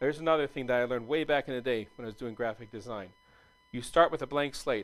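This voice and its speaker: A man's very fast speech with big swings in loudness and ordinary pitch variation, music in the background. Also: medium pitch for a man. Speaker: meetup speaker on software UI design. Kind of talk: presentation.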